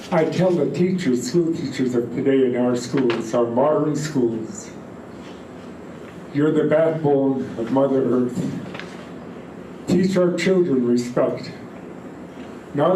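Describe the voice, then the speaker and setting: Amid noticeable background noise and audible room echo, a man with a fairly high pitch talks at a very slow pace with long, frequent pauses, very even loudness and ordinary pitch variation. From British Columbia, Fraser River area. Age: 80s+. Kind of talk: storytelling talk to gathering.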